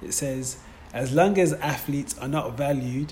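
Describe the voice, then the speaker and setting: A medium-pitched man at a moderate pace, fairly even in intonation, against noticeable background noise. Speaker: sports podcast host. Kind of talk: interview. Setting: in London, noisy location.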